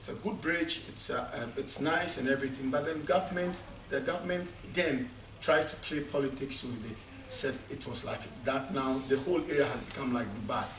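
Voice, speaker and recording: A man's fairly high voice with noticeable background noise and audible room echo. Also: ordinary pitch variation, moderate pace. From Ghana. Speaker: conference speaker. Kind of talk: conference speech. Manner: halting, with many repetitions.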